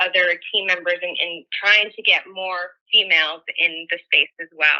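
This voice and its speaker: This woman's voice is bright and sharp, with an American accent. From US, San Francisco, California. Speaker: tech company engineer, guest speaker. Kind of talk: online presentation. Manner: casual, filler-heavy.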